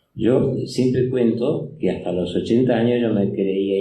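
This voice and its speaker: A man's dark, mellow voice with ordinary pitch variation and audible room echo. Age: 80s+. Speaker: comic artist. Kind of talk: public interview. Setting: stage with audience. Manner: halting, many fillers.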